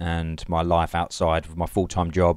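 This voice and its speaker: In a very clean recording with a silent background, a man with an Essex accent talks at a moderate pace. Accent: southern English (Essex). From England (Leigh-on-Sea, Essex). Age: 20s. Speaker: amateur machinima filmmaker. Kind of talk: interview. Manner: hesitant, many fillers.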